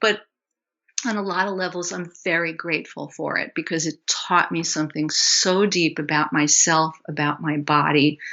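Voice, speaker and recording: A woman's fairly low-pitched, ordinary speaking voice at a moderate pace, with fairly even intonation. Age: 60s. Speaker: health coach and somatic educator. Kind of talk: interview.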